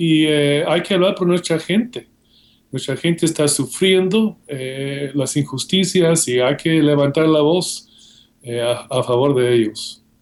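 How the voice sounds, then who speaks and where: A man with a fairly high pitch at a very slow pace. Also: ordinary pitch variation. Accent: Guatemalan. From Guatemala. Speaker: seminary professor and author. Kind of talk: interview.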